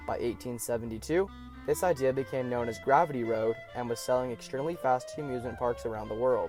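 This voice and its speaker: A man's lively intonation at a fairly quick pace, with music in the background. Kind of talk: documentary narration.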